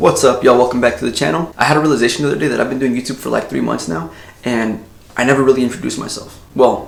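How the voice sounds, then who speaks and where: A man speaks very fast at a medium pitch with lively intonation. Noticeable background noise is present. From US, Mexican American. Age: 20s. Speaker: YouTuber. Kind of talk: casual vlog talk. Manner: conversational.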